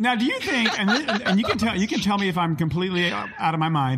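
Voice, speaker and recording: A man speaks in an animated tone. His pace is fairly quick. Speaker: podcast host and producer. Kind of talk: casual interview, playful. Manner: animated, camp.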